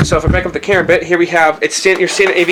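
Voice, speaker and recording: There is noticeable background noise behind a man with a high pitch and ordinary pitch variation. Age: 20s. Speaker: video game console reviewer. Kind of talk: casual video review. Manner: halting, many fillers and repetitions.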